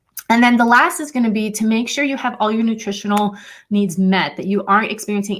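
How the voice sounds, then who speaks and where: Somewhat breathy, a woman at medium pitch speaks at a very fast pace. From Puerto Rican heritage. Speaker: fertility educator. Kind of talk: live stream Q&A.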